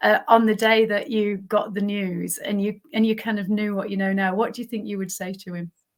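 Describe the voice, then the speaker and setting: A woman at medium pitch, fairly quick and with hardly any pauses, in a monotone, flat intonation. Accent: northern English. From northern England. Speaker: podcast host and health coach. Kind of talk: interview.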